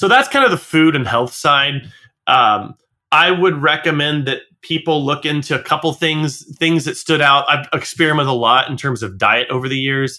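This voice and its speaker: A man with a fairly high pitch speaks in a normal speaking voice at a moderate pace, showing ordinary pitch variation. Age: 40s. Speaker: music school business podcast co-host. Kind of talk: casual chat.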